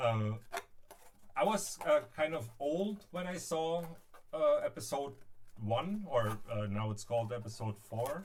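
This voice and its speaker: A man with a German accent speaks at a fairly slow pace and a fairly high pitch, his voice swinging very widely in pitch, with long, frequent pauses and noticeable background noise. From Berlin, Germany. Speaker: DIY prop maker. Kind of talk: live stream crafting tutorial. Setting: live stream. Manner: halting, hesitant.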